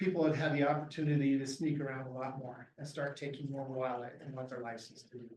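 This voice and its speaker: Talking at a very fast pace with hardly any pauses, a man speaks in a fairly high, somewhat breathy voice. His loudness swings widely. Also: fairly even intonation. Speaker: game warden. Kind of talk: lecture. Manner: soft-spoken.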